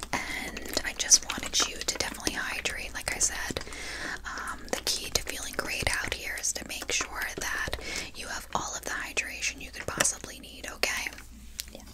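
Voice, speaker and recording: Moderate-paced speech from a woman against loud background noise. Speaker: camp hostess roleplay. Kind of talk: ASMR roleplay soft talk. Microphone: lapel.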